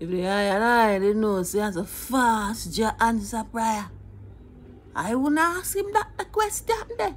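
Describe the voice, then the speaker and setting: A woman speaks at a fairly slow pace with light background noise behind her. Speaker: storyteller. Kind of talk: humorous storytelling. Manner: playful, conversational. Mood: animated, mock-tearful humor. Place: home room. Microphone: phone near.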